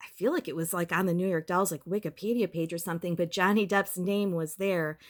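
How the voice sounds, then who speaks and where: A woman's fairly low voice at a fairly quick pace, with fairly even intonation. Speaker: YouTuber. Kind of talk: casual vlog talk. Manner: filler-heavy, many ums and likes.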